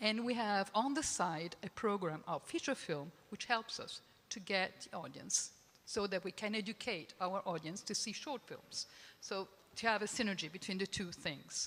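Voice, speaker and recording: A woman's medium-pitched voice in an Italian accent, lively in intonation and moderate in pace. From Italy. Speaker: film festival programmer. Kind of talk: panel discussion. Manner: halting.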